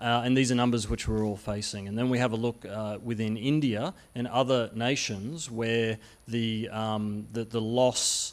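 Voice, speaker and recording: Fairly slow male speech with fairly even intonation. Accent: Australian. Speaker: conference speaker, utility software industry. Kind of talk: conference presentation. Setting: conference stage with audience. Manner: hesitant, many fillers and restarts.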